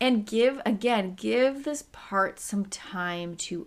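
A woman's voice with very wide pitch swings, on a very clean recording with a silent background. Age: 30s. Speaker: chronic pain specialist and podcast host. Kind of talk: solo educational podcast talk.

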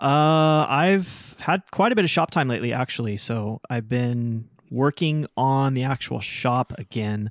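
Using an ordinary speaking voice, a man talks at a fairly slow pace with hardly any pauses, medium pitch and ordinary pitch variation, in a dry, close sound with no echo. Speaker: woodworker and podcast host. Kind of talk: casual chat. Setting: remote recording from woodshop. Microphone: new microphone.

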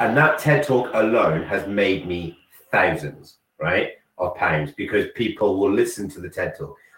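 At a fairly slow pace, a man talks with big swings in loudness. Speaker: motivational speaker. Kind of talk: casual chat. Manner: animated.

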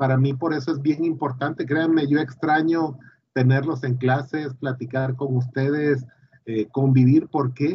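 Somewhat breathy and fairly high-pitched, a man speaks at a fairly slow pace with fairly even intonation. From Mexico, Tabasco. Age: 40s. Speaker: university engineering director. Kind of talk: interview.

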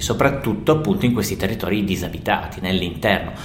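Talking at a very fast pace, the man shows ordinary pitch variation, with noticeable background noise and audible echo from the room. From Italy, Turin. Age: 40s. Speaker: forest researcher. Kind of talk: interview.

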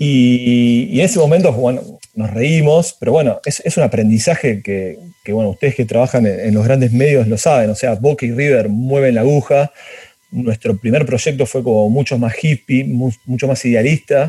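Medium pitch from a man, ordinary pitch variation, and a moderate pace. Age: 40s. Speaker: project creator. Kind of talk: casual interview. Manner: halting, many repetitions.

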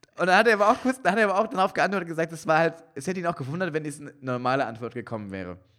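With a high, bright and sharp voice, a man races at a very fast pace through very wide pitch swings and big swings in loudness. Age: 30s. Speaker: podcast co-host and comedian. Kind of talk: casual chat. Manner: halting.

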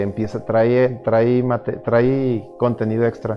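With music in the background, a man with a Mexican accent talks very slowly at a medium pitch. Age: 30s. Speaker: podcast host. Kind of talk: casual chat. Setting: virtual studio.

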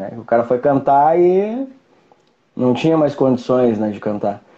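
Medium-pitched male voice with ordinary pitch variation and a fairly slow pace. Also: long, frequent pauses. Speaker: hard rock singer. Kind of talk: casual interview on a live stream.

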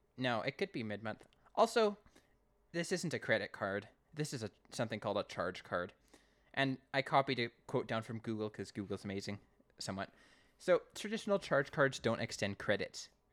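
A man with a Canadian accent and a medium pitch, very wide pitch swings, long and frequent pauses, on a very clean recording with a silent background. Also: fairly quick pace, dry, close sound with no echo. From Canada. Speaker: podcast host. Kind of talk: casual chat.

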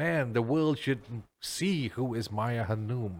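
A man speaks at a medium pitch with a Malaysian accent and ordinary pitch variation. The recording is very clean, with a silent background. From Ipoh, Malaysia. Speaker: podcast host. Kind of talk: casual interview chat.

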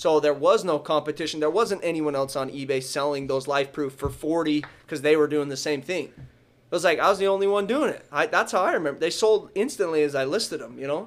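A man with a plain, everyday voice and a fairly high pitch speaks at a fairly quick pace, with ordinary pitch variation and hardly any pauses. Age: 20s. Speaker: coin and card dealer. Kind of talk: casual interview.

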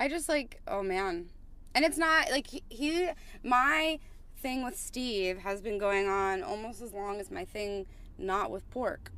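With very wide pitch swings and a bright, sharp tone, a woman speaks at a fairly slow pace. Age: 30s. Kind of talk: casual chat. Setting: in a car.

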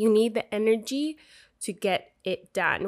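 On a very clean recording with a silent background, a woman talks in an animated tone at a fairly high pitch with ordinary pitch variation. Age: 20s. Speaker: motivational podcast host. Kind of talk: motivational monologue.

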